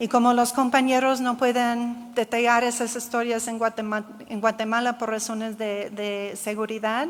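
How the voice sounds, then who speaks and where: With a non-native accent, a woman speaks in monotone, flat intonation with hardly any pauses. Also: fairly high pitch for a woman, moderate pace. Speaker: geographer, researcher. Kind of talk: conference Q&A answer. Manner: halting.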